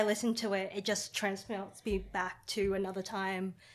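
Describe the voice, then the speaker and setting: In an Australian accent, a woman speaks at a moderate pace on a very clean recording with a silent background. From Australia, Brisbane. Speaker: science communicator. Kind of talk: casual chat.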